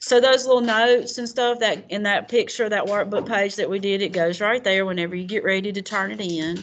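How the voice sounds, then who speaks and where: Speaking fast with hardly any pauses, a woman with a Southern US accent keeps a medium pitch and ordinary pitch variation against a quiet background. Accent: Southern twang. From US South. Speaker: college writing teacher. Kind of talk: classroom lecture. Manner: casual, conversational.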